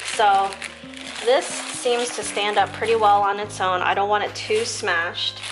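Clear music plays in the background while the voice moves at a very slow pace. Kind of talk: tutorial. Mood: calm, cheerful. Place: home room.

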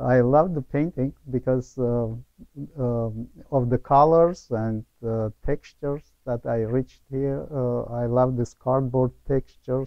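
Speaking at a very slow pace with fairly even intonation, a man with an Armenian accent comes through in a dry sound with no echo and a quiet background. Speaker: painter. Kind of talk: interview. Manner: halting. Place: hall. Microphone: lapel.

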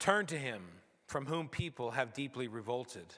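Against a quiet background, a man with a bright, sharp tone speaks at a fairly slow pace. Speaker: pastor. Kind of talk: scripture reading in sermon. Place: church. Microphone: podium.

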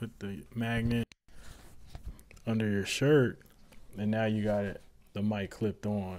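His intonation stays fairly flat as the man speaks. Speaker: tech youtuber. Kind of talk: casual product review chat. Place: home room. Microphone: lapel.

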